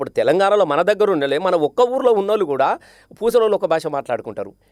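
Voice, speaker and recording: A man's voice, high in pitch. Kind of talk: interview answer.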